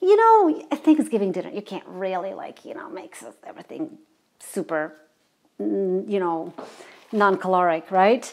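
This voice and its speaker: Speaking with a Croatian accent at a moderate pace, a woman uses a medium pitch with very wide pitch swings and big swings in loudness. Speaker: singer and web show host. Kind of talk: inspirational reflection; casual cooking show talk. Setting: home kitchen. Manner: halting, many fillers.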